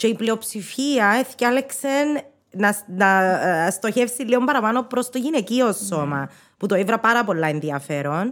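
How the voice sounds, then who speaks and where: A woman with a Cypriot accent talks at a fairly slow pace in a very clean recording with a silent background. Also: fairly high pitch for a woman, lively intonation. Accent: Cypriot Greek. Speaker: podcast host. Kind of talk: interview. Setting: studio.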